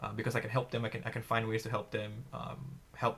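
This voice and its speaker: Vocal fry in a man's medium-pitched voice. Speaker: student government candidate. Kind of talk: candidate forum answer. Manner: loud; halting, many fillers.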